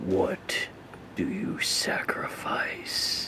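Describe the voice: The speaker whispers. It is a put-on character voice.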